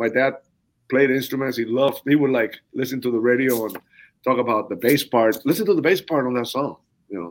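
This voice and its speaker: A man at a very fast pace with a Spanish accent, medium pitch and fairly even intonation. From southern Cuba. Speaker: percussionist. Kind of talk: interview.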